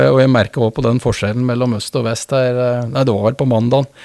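A man holds a medium pitch in a monotone, flat intonation. He keeps a moderate pace. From Norway, Østre Toten (Oppland). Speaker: business partner in mergers and acquisitions. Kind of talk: interview. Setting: studio. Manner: halting, frequent repetitions.

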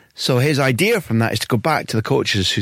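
A man with a Scottish accent at a fairly quick pace, ordinary pitch variation, dry, close sound with no echo, very clean recording and silent background. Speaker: football journalist and podcast host. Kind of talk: scripted narration; interview.

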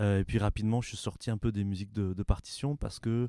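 A man with a fairly low pitch and a dark, mellow tone at a fairly quick pace, fairly even in intonation, in a very clean recording with a silent background and a dry, close sound with no echo. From France (Paris, later southwest France). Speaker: ethnomusicologist and music professor. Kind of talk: interview conversation.

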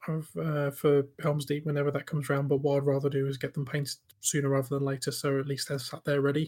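This man has a fairly high pitch and a somewhat breathy voice, talking in a monotone, flat intonation. He goes at a very fast pace with hardly any pauses. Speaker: podcast co-host. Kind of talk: casual chat.

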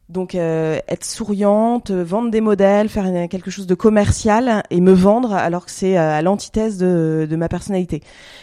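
Her voice sits at a medium pitch with a dark, mellow tone, fairly even intonation, a moderate pace and hardly any pauses. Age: 30s. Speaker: fashion entrepreneur. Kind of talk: interview conversation. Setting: at home.

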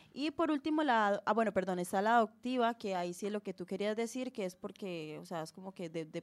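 A woman with an unremarkable speaking voice, lively intonation, a moderate pace and hardly any pauses. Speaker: podcast co-host. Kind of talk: casual chat; reading aloud.

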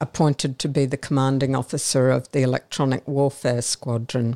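A woman speaks at a very deep, low pitch in a dry, close recording with no echo. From Brisbane, Australia. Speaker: retired air force officer. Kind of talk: interview. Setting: studio.

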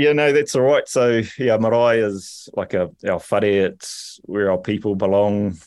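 A man with a New Zealand accent speaks with hardly any pauses. His pitch varies in an ordinary way. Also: medium pitch for a man, fairly slow pace. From New Zealand, Rotorua. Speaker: rugby coach and culture manager. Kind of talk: interview. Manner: halting.

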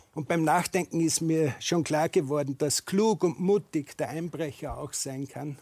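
A man with an Austrian accent and a dark, mellow tone talks at a fairly slow pace with hardly any pauses and ordinary pitch variation, the sound dry and close with no echo. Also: fairly high pitch for a man. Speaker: shoe manufacturer. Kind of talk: panel discussion.

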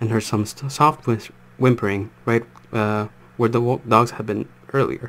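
Plain reading aloud with fairly even intonation fills this clip.

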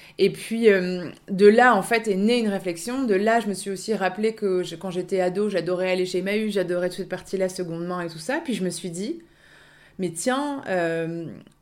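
At a moderate pace, a woman speaks at medium pitch with ordinary pitch variation. Her volume rises and falls a lot. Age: 30s. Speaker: second-hand clothing shop owner. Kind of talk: interview. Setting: radio studio. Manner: hesitant, many fillers.

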